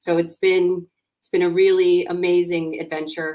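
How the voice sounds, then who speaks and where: Here a woman talks with a New York accent. She keeps a moderate pace. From US, New York. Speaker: startup founder and CEO. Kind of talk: interview.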